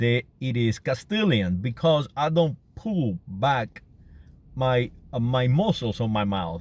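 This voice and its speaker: Despite a very slow pace, a man speaks with lively intonation at a medium pitch. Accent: Canary Islands. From Canary Islands, Spain. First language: Spanish. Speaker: vlogger. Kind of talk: casual monologue. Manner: halting, many fillers and repetitions.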